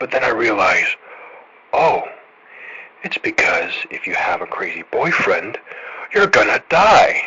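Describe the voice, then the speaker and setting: A man puts on a raspy character voice, talking at a fairly slow pace and leaving long, frequent pauses. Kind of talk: in-character horror monologue.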